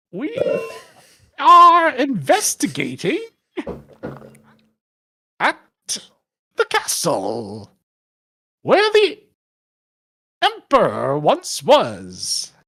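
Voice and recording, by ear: The put-on character voice crawls along very slowly, broken by long, frequent pauses.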